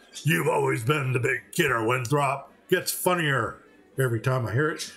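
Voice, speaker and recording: Speaking at a moderate pace, a man adopts a raspy, put-on character voice pitched in the medium range. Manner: mean, menacing-mocking.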